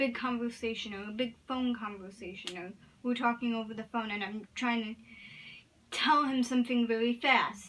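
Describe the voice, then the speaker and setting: A woman keeps a moderate pace as noticeable background noise continues. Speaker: vlogger. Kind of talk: casual vlog talk to camera. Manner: halting, with repetitions.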